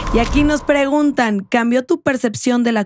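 At a moderate pace, a woman speaks in an animated tone with a fairly high pitch, the sound dry with no echo and only light background noise. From Mexico. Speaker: podcast host. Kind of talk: interview. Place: studio. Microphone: studio mic.

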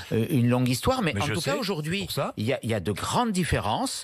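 His pitch swings very widely. The man is heard over a quiet background. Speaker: politician guest. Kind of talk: interview answer. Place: studio. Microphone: studio mic.

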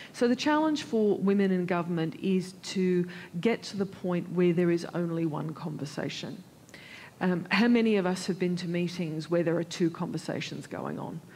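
A woman's fairly low, dark, mellow voice, somewhat breathy, with an Australian accent, ordinary pitch variation and a moderate pace. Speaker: senior public servant; panelist. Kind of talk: panel discussion. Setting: conference stage with audience. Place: stage. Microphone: headset.

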